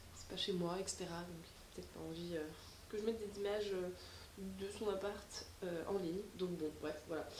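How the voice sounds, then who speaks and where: There is audible room echo along with noticeable background noise. Through it, a woman talks with fairly even intonation. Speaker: vlogger. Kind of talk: casual vlog monologue. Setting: at home alone. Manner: casual, many fillers.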